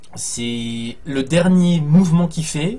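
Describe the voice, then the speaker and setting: With audible room echo, a man speaks with ordinary pitch variation. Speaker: gaming streamer. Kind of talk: live gameplay commentary. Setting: live stream with headphones. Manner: loud; animated.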